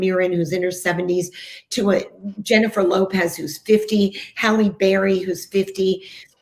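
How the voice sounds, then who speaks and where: Her voice sits at a medium pitch. The speaker is a woman. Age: 60s. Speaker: TV host and breast cancer survivor. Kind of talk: podcast interview. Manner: animated.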